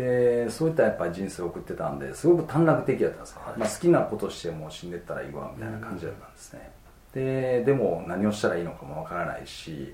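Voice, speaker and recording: Talking at a very fast pace, a man with a fairly low pitch makes very wide pitch swings and big swings in loudness, with audible room echo and noticeable background noise. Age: 40s. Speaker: osteopath clinic director. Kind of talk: interview.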